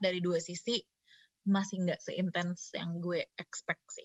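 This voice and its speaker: A woman's unremarkable speaking voice at medium pitch and a fairly slow pace. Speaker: university student and performer. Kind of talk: casual chat.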